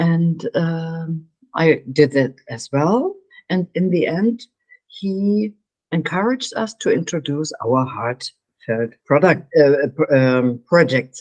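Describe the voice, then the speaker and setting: A woman with a German accent speaks at a very slow pace, fairly low in pitch, with lively intonation. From Germany. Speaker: meditation coach. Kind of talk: interview. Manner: halting.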